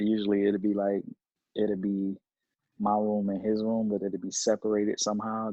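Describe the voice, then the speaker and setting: A man at a moderate pace, fairly low in pitch, with monotone, flat intonation. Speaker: reaction video co-host in military barracks. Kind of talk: casual chat on phone while reacting to video. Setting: phone call from shared barracks room. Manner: kept quiet to not disturb roommate.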